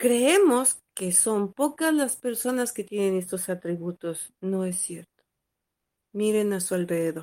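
On a very clean recording with a silent background, a woman at a medium pitch speaks fairly slowly in a dark, mellow tone with lively intonation. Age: 50s. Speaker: spiritual teacher and podcast host. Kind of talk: lecture. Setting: small room at home. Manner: halting.

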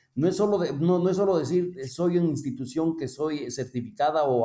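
Dark, mellow male tone with ordinary pitch variation. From Ecuador. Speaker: cooperative finance executive. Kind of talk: interview. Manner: halting.

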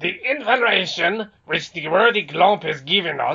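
A man's put-on character voice, high-pitched, at a moderate pace. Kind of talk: grand oratory. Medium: read story. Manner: pompous, long-winded, flattering.

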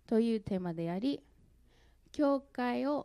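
Fairly slow and fairly high in pitch, a woman with an American accent and a dark, mellow tone swings her pitch very widely on a very clean recording with a silent background. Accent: American accent in Japanese. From US Midwest (St. Louis, Missouri). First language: English (speaking Japanese). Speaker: church member giving testimony. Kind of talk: testimony. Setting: church.

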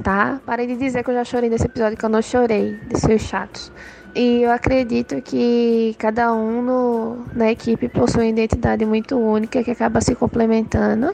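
Noticeable background noise sits behind a woman who speaks at a moderate pace with a fairly high pitch and very even loudness. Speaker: podcast team member, topic researcher. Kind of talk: recorded voice message.

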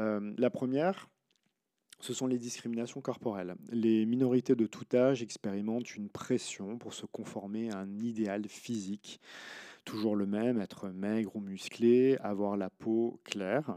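A man speaks at a fairly slow pace with a medium pitch and a dark, mellow tone. His intonation is fairly even, and the sound is dry and close with no echo. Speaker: podcast host and social science researcher. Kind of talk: scientific article summary. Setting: recording at home.

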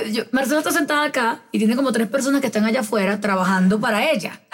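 A woman talks at a very fast pace with lively intonation. Noticeable background noise runs underneath. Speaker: podcast host. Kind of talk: casual chat.

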